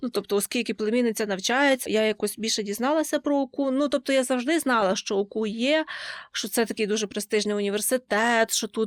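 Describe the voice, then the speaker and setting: On a very clean recording with a silent background and a dry, close sound with no echo, a woman speaks at a fairly quick pace in an ordinary speaking voice, her fairly high pitch showing ordinary pitch variation. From western Ukraine, Lviv region. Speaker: university student. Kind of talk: interview.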